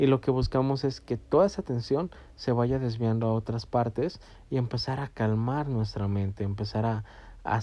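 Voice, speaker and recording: A man speaks at a moderate pace in a dark, mellow tone, his pitch medium with ordinary variation. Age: 20s. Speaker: podcast host. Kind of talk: educational monologue. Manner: halting.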